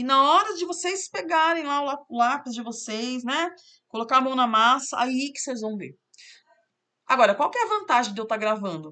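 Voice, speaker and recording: A woman with a high pitch and a bright, sharp tone uses a raised, projected voice, with very wide pitch swings and big swings in loudness over a quiet background. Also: moderate pace. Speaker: math teacher. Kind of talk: tutorial.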